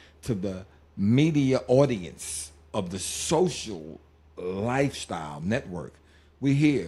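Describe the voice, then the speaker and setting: In a very clean recording with a silent background, a man with a medium-pitched voice and vocal fry sounds animated, his pitch swinging very widely. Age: 60s. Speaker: podcast co-host. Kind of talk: casual chat.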